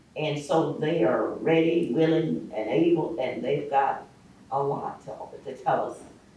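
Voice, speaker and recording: A man with an American accent is heard through noticeable background noise and audible room echo. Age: 70s. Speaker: community elder and local historian. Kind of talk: panel discussion.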